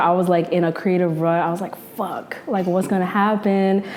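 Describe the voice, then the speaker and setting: A woman with a New York accent talks at a medium pitch and moderate pace. Her intonation is monotone and flat over noticeable background noise. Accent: New York metro American English. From New Jersey (North Jersey). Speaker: journalist and podcaster. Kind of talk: casual interview chat.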